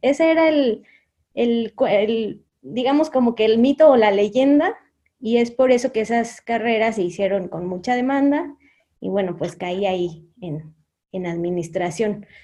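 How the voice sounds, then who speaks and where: In a Mexican accent, a woman speaks at a fairly slow pace with lively intonation. Her voice is fairly high-pitched, with a dark, mellow tone. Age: 30s. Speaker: HR consultant and entrepreneur. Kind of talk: interview. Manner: halting.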